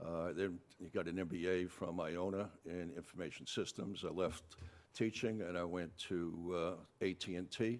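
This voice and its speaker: In a New York accent, a man with a very deep, low pitch talks at a moderate pace with fairly even intonation. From New York City, Bronx. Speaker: political candidate. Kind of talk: debate opening statement. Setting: town hall with audience.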